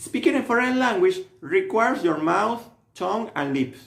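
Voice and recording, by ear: A man talks at a fairly slow pace, his pitch swinging widely, with vocal fry throughout.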